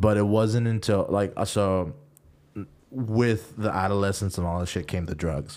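Speaking at a moderate pace in a plain, everyday voice, a man has a fairly low pitch with ordinary pitch variation. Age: 20s. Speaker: podcast co-host. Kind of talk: casual chat.

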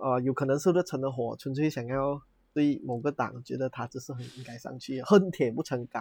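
The speech moves at a moderate pace with ordinary pitch variation, a somewhat breathy quality, and big swings in loudness. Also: man, medium pitch for a man. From Malaysia. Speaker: podcast co-host. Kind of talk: casual chat.

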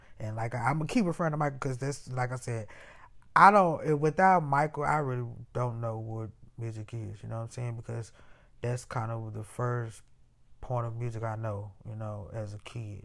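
Using an American accent, a man speaks at a moderate pace in a medium pitch with ordinary pitch variation. The recording is very clean, with a silent background. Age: 30s. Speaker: musician and podcaster. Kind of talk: casual monologue. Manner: halting.

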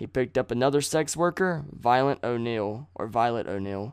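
Here is a man with a normal speaking voice. His pitch is medium, with ordinary variation. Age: 20s. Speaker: true crime podcast host. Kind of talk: casual narration of true crime.

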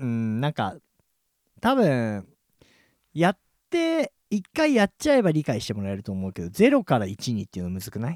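Recorded very cleanly against a silent background, a man speaks at a moderate pace with long, frequent pauses. The sound is dry and close, with no echo. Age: 40s. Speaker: local podcast host and DJ. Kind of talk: casual chat. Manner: animated.

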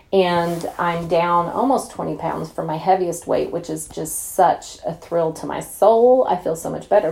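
A woman speaks at a fairly slow pace with an American accent. Her tone is dark and mellow, and her pitch is fairly low. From Oklahoma. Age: 40s. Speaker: podcast host, entrepreneur. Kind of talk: casual solo podcast talk. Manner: animated.

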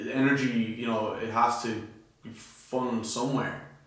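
A man at medium pitch with an Irish accent and fairly even intonation, amid noticeable background noise and audible room echo. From Ireland. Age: 20s. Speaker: aspiring musician. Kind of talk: casual chat.

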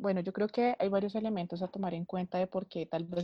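A woman's fairly low-pitched, unremarkable speaking voice at a fairly quick pace, with fairly even intonation. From Bogotá, Colombia. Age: 20s. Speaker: political scientist. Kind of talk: panel discussion.

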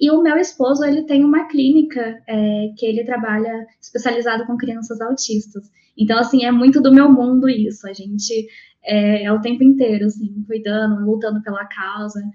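Here is a woman with a plain, everyday voice, pitched fairly high. She moves at a moderate pace with ordinary pitch variation. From Londrina, Paraná, Brazil. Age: 20s. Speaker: iOS developer, mother. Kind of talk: casual chat.

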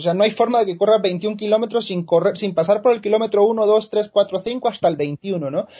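Pitched high, a man speaks with a dark, mellow tone and ordinary pitch variation. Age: 30s. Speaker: marketer and amateur runner. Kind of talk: podcast interview.

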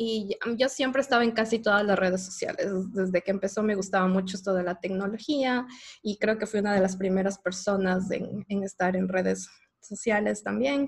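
A woman talks in an unremarkable speaking voice. Her intonation stays fairly even. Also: medium pitch for a woman, moderate pace. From Ecuador. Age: 30s. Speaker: podcast host. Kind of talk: casual chat.

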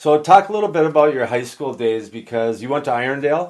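With a plain, everyday voice, a man with an American accent talks at a fairly quick pace on a very clean recording with a silent background. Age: 50s. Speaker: podcast host and hockey coach. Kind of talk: casual interview.

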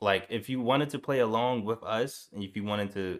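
Fairly even in intonation, a man talks at a medium pitch in an unremarkable speaking voice. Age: 20s. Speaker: video game podcast co-host. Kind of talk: casual chat.

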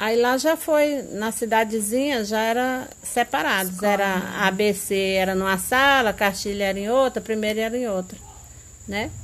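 Speaking slowly-ish at a fairly slow pace, a woman has a plain, everyday voice, a fairly high pitch, and ordinary pitch variation. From rural Brazil. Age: 50s. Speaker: mother recalling her schooldays. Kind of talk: interview.

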